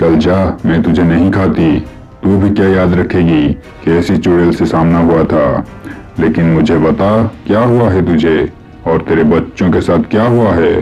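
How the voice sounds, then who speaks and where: A man puts on a cartoonish character voice pitched very deep and low. Clear music plays in the background. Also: moderate pace. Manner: gruff, rough-spoken.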